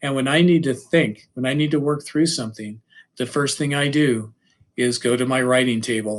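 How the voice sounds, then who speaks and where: A man talks at a moderate pace and medium pitch. He has a normal speaking voice with ordinary pitch variation. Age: 60s. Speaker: high school English teacher. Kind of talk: presentation / lecture.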